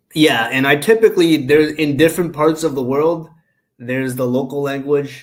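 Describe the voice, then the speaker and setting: A man talks at a moderate pace with a fairly high pitch. His intonation stays fairly even. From Canada (immigrated from China at seven). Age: 30s. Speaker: engineer, traveler. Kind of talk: casual chat. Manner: hesitant, many fillers.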